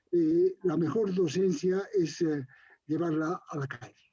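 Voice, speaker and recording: Speaking at a very slow pace, a man uses a high voice. His tone is dark and mellow. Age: 70s. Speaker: university lecturer and researcher. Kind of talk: interview. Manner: animated, vehement.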